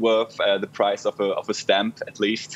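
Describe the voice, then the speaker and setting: Speaking at a moderate pace, a man talks. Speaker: international student. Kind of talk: casual interview. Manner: halting, many fillers. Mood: relaxed, friendly. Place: home room. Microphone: earbuds.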